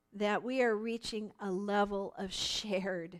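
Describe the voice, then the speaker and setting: This woman's pitch falls in the medium range. She keeps a fairly even intonation. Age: 60s. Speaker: workshop teacher. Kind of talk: workshop talk. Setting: live streamed class. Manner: halting.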